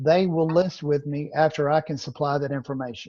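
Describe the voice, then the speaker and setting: A man's dark, mellow voice with a Southern accent, at a moderate pace, against a quiet background. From Louisiana. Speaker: real estate trainer. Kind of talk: training session.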